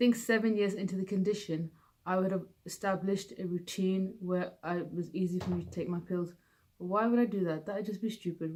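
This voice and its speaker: A woman with a British accent mumbles at a fairly quick pace in a dark, mellow tone, at medium pitch with fairly even intonation. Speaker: vlogger with Parkinson's. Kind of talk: personal vlog. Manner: mumbling; slurred.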